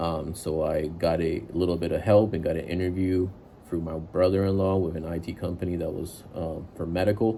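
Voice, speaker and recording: Over audible room echo, a man speaks with a very deep, low pitch, fairly even intonation and a dark, mellow tone. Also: moderate pace. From immigrant to the US at age seven from a developing country. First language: not English. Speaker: IT worker giving career advice. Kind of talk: casual advice monologue. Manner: casual, many filler words.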